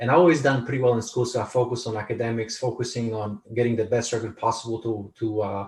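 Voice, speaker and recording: A man with a Polish accent talks at a very fast pace with hardly any pauses. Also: medium pitch for a man, fairly even intonation. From Poland. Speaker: author and speaker. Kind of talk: interview. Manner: halting, many repetitions.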